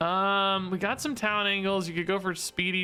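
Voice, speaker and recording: A man's bright, sharp tone at a fairly quick pace. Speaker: game developer and streamer. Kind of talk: gameplay commentary. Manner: fast; casual, halting with frequent fillers.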